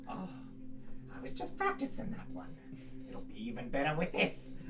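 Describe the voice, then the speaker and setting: Over loud background noise, a put-on character voice moves along at a moderate pace. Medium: actual play. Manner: gracious, self-assured.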